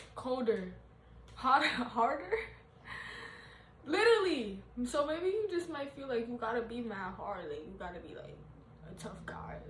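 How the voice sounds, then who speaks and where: A high-pitched woman speaks at a moderate pace in an animated tone, her pitch swinging very widely and her loudness rising and falling sharply, with long, frequent pauses. Noticeable background noise and audible room echo surround her. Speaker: tarot reader. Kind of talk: casual tarot reading monologue.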